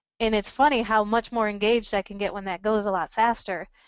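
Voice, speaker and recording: A woman talks in a fairly high pitch with fairly even intonation. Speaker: business communication presenter. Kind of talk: webinar Q&A. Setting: webinar, standing. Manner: naturally loud.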